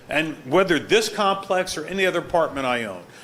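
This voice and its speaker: The room echo is audible here. A man speaks with a high pitch. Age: 70s. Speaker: property owner and surgeon. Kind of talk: testimony at a town board hearing. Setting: town hall meeting. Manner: animated.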